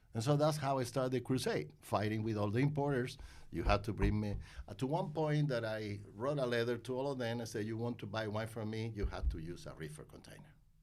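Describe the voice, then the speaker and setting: At a fairly quick pace, a man speaks at medium pitch with ordinary pitch variation. Audible room echo surrounds him. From Spain (Málaga). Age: 60s. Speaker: wine importer. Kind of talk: interview. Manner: halting.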